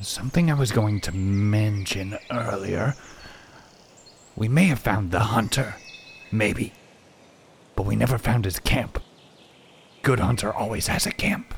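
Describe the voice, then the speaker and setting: Using a put-on character voice, a man talks at a moderate pace and a fairly low pitch, with long, frequent pauses. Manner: ingratiating, self-assured.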